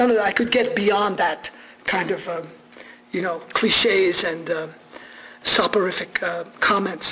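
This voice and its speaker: A man with a high voice speaks in a raised, projected way at a fairly slow pace. Long, frequent pauses break his speech over noticeable background noise. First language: Armenian. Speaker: radio journalist giving a talk. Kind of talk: public lecture. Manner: animated.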